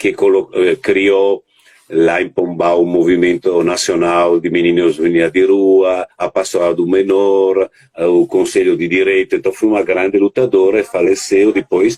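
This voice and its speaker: Recorded with a dry, close sound and no echo, a man speaks at a fairly slow pace with very even loudness. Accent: Italian. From Italy, Verona. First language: Italian (speaking Portuguese). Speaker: children's rights network coordinator. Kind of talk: interview on live stream. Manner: halting, many hesitations.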